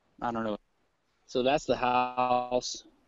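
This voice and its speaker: Speaking with an American accent, a man keeps to a medium pitch. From Louisiana, US South. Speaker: libertarian commentator. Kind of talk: casual chat. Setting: outdoors, walking a forest trail; video call on iPad. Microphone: very quiet.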